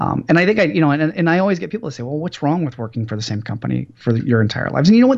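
Very fast, fairly high-pitched male speech with an American accent and very wide pitch swings. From US West Coast, Los Angeles. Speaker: entrepreneur and business professor. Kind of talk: podcast interview.

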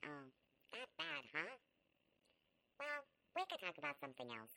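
A put-on character voice is used here. It sits at a middle pitch and moves at a moderate pace. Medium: read story. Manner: cheerful, playful, teasing.

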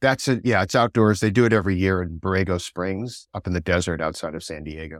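A man speaks at a very fast pace in a very deep, low voice. His pitch varies in an ordinary way. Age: 70s. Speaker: endurance cyclist and former film director. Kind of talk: interview.

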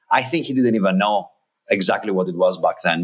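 This man has a Greek accent. He talks at a fairly quick pace. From Greece. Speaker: startup founder and CEO. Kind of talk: casual interview. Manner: halting, repeats words.

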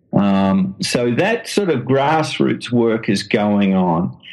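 This man speaks with an Australian accent. His pitch sits in the medium range. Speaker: missionary and author. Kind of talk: interview. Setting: phone call. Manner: halting.

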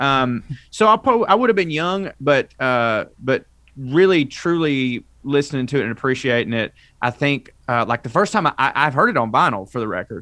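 Very cleanly recorded against a silent background, a man with a rural Southern US accent speaks at a moderate pace in a bright, sharp, fairly high voice with very wide pitch swings. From North Georgia, US South. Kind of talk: casual chat.

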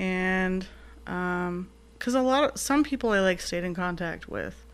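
A woman speaks with an American accent. Her pitch sits in the medium range, with ordinary variation. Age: 40s. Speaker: army veteran and artist. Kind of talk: casual interview chat.

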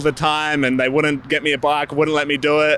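Someone speaks at a moderate pace with an Australian accent. The tone is bright and sharp. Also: man. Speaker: professional BMX racer. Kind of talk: interview.

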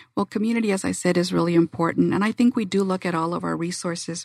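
Fairly quick and fairly low in pitch, a woman speaks in a plain, everyday voice, the sound dry and close with no echo on a very clean recording with a silent background. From Arizona. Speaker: community foundation executive. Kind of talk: interview. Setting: studio.

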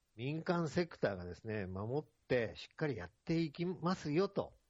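The man's fairly high voice makes very wide pitch swings. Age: 60s. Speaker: international development consultant. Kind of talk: interview.

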